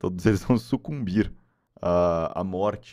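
The background stays quiet as a man talks, his pitch moving in an ordinary way. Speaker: live streamer. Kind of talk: casual stream chat. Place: home room. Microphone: studio mic.

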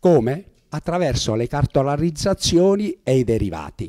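Pitched fairly high, a man's voice has a dark, mellow tone and swings very widely in pitch. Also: quiet background. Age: 70s. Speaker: retired judge and jurist speaker; speaker. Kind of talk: public talk. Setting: meeting hall with audience. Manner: halting, with frequent repetitions. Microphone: handheld.

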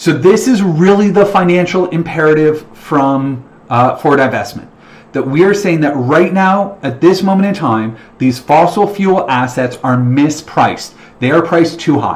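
A man with a Canadian accent speaks at a moderate pace. His pitch is fairly high and his intonation lively. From Ontario, Canada (London, Ontario); Ontario, Canada. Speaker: financial educator, investment planner; financial educator. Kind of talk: webinar presentation. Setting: online livestream webinar. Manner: casual, filler-heavy. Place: home room. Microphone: webcam.

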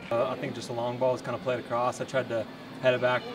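With clear background noise behind him, a man talks at a medium pitch.

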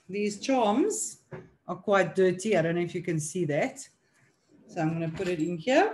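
Over light background noise, a woman speaks at a moderate pace in a somewhat breathy voice. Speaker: product demonstrator. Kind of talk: tutorial.

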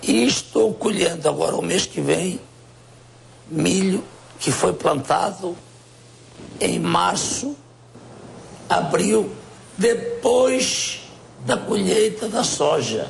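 A man speaks at a very slow pace, with long, frequent pauses. His loudness stays very even over light background noise. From Portugal. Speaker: businessman and political candidate; interview guest. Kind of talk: interview. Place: home room. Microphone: lapel.

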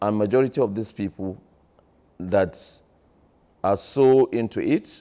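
At a moderate pace, a man speaks in a fairly low, dark and mellow voice with ordinary pitch variation. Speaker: politician interviewee. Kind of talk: interview answer. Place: home room. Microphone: lapel.

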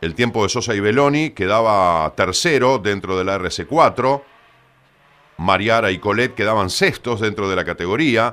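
Here a man talks with a bright, sharp tone that sounds animated and confident. His pitch is fairly low. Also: ordinary pitch variation. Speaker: motorsport TV presenter and rally commentator. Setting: studio. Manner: fluent, brisk, animated play-by-play delivery; rattles off split times and driver names with quick confident emphasis.

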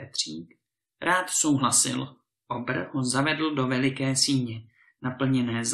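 Over a quiet background comes plain reading aloud.

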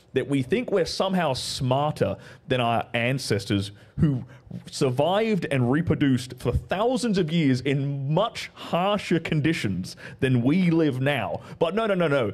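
A man with an Australian accent talks at a fairly slow pace and a fairly high pitch. His pitch swings very widely while his loudness stays very even. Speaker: guest commentator. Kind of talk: casual chat. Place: studio. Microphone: studio mic.

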